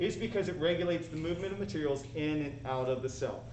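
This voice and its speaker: Fairly quick speech with noticeable background noise and audible room echo. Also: man. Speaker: high school biology teacher. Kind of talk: live lecture. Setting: live stream. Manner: fast.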